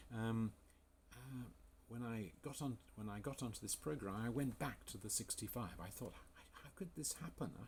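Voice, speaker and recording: With vocal fry and lively intonation, a man speaks in a medium pitch at a moderate pace. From England. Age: 60s. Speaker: health coach. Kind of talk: sales pitch. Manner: enthusiastic.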